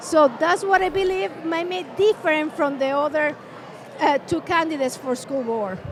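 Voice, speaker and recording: With a non-native accent, a woman speaks fairly slowly in a high pitch that swings very widely. There is noticeable background noise. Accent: foreign. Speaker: school board candidate. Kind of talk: candidate interview. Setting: live event with crowd. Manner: halting, many fillers.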